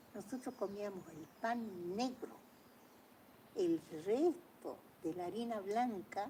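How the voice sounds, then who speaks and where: With a dark, mellow tone, a woman talks using ordinary pitch variation. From Argentina. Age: 80s+. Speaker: painter telling family history. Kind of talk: casual storytelling conversation.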